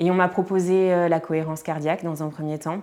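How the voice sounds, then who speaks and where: In a very clean recording with a silent background, a woman speaks at a fairly low pitch with fairly even intonation. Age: 30s. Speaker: podcaster. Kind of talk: testimony. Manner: hesitant, many fillers.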